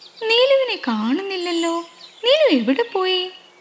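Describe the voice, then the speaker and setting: A woman speaks over noticeable background noise. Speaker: storyteller. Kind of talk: children's story narration.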